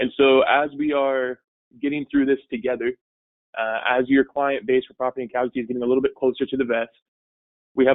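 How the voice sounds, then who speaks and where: A man's very fast delivery in a flat, monotone intonation. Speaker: insurance webinar presenter. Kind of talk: webinar presentation. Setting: online webinar.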